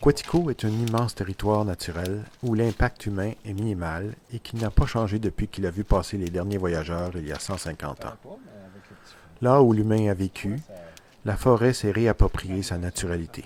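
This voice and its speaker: This is a normal speaking voice from a man with a fairly low pitch. He moves at a moderate pace with ordinary pitch variation. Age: 60s. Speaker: canoe traveller and photographer. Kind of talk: scripted narration.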